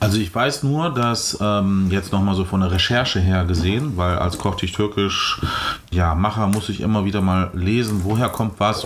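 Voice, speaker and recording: Over noticeable background noise and audible room echo, a man speaks with ordinary pitch variation. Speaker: podcast host. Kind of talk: casual chat. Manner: talkative.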